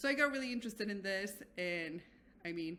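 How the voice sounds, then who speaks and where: Bright, sharp tone from a woman speaking at a fairly quick pace. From Mexico City. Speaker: physician and doctoral researcher. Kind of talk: podcast interview.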